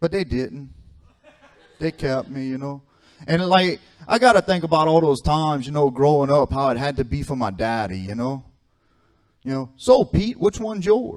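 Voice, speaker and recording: A man talks with very wide pitch swings and long, frequent pauses. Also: fairly high pitch for a man, moderate pace. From South Louisiana (Cajun bayou). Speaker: comedian. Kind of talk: stand-up.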